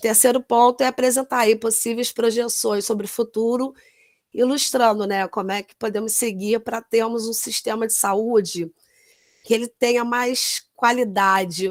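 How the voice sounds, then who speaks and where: In a very clean recording with a silent background and a dry, close sound with no echo, a woman talks fairly slowly in a plain, everyday voice, her fairly high pitch held in fairly even intonation while her loudness swings widely. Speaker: nurse. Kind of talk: lecture.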